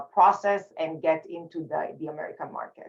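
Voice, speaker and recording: In an Israeli accent, the speaker uses monotone, flat intonation. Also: woman. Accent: Israeli accent, noticeable. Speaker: communication facilitator and speaker. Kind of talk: panel discussion.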